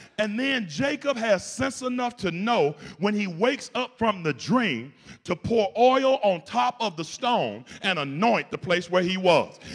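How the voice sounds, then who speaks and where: A man with a high-pitched voice and an animated tone. He talks fairly slowly, with lively intonation. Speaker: pastor. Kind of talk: sermon; preacher in full flow, call-and-response with a congregation. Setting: church with congregation. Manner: animated, exhorting the congregation; conversational, humorous, colloquial.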